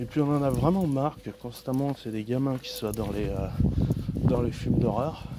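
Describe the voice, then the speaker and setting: A man's fairly high-pitched voice with ordinary pitch variation, set against noticeable background noise. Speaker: vlogger. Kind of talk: casual vlog monologue. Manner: loud.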